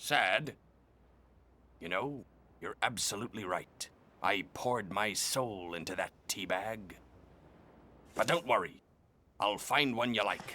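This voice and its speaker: A man's cartoonish character voice, fairly low in pitch, at a fairly slow pace with long, frequent pauses. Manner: hearty, theatrical, salty.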